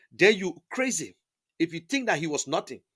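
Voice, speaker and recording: A man speaks in a raised, projected voice with a bright, sharp tone and lively intonation. His tone is animated, on a very clean recording with a silent background. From Liberia. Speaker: online talk show host. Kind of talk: political commentary monologue.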